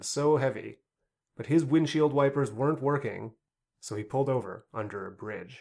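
A normal speaking voice with lively intonation at a moderate pace. The recording is very clean, with a silent background. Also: man. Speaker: podcast host. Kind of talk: book review podcast, comedic banter with read-aloud story excerpts.

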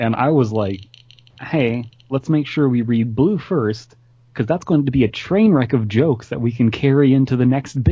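With ordinary pitch variation, the voice offers plain reading aloud.

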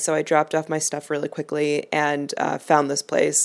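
This woman speaks at a moderate pace with a very deep, low pitch. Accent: American. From Chicago, US Midwest. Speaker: travel podcast host. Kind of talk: casual travel monologue and interview. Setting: outdoors at a busy cafe (interview part).

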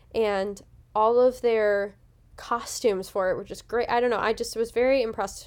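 Against a silent background in a very clean recording, a woman with a fairly high pitch speaks at a moderate pace in a monotone, flat intonation. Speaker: podcast host. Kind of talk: casual chat, show recap.

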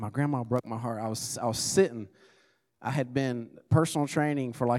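On a very clean recording with a silent background, a man speaks in a normal speaking voice at a moderate pace with ordinary pitch variation. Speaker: business owner preaching as guest. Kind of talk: sermon. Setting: church service with congregation.

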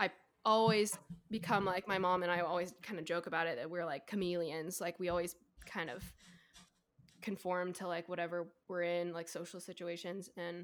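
With long, frequent pauses, a woman speaks at a moderate pace in a fairly low, flat monotone. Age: 20s. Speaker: college student. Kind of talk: casual chat.

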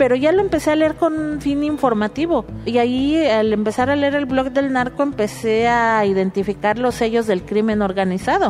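Lively intonation marks this woman's high-pitched voice, with very even loudness. She keeps a moderate pace with hardly any pauses. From Mexico City. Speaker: activist and data mapper. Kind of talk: interview.

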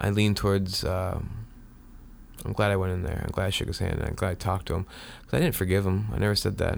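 The speaker talks at a very fast pace. Pitch variation is ordinary. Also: man, very deep, low pitch for a man. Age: 30s. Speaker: podcaster. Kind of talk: personal monologue. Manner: halting, many fillers and repeats.

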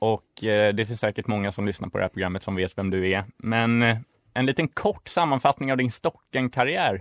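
Recorded dry and close with no echo against a quiet background, a man of medium pitch uses an ordinary speaking voice at a moderate pace with ordinary pitch variation. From Stockholm, Sweden (inner city). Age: 20s. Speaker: student radio co-host. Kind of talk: casual radio chat.

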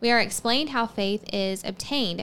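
Pitch varies in an ordinary way throughout an ordinary speaking voice. Behind it is silence, and the recording is very clean. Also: woman. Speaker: podcast host. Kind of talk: religious podcast teaching, casual.

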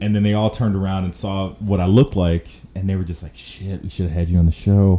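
A very deep, low-pitched male voice with a dark, mellow tone and an American accent, at a very fast pace. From Chicago South Side. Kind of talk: casual chat. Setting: video call.

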